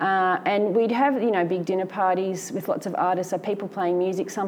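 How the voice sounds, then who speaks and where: With an Australian accent, a woman speaks at a medium pitch and a fairly quick pace, her intonation fairly even, against noticeable background noise. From Victoria, Australia (Melbourne and Benalla). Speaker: artist. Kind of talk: interview before a live audience. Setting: gallery with live audience. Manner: halting, with frequent fillers and restarts.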